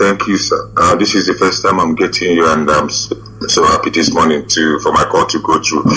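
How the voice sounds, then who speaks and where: A man at a moderate pace, with hardly any pauses and very even loudness. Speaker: caller. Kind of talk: call-in question.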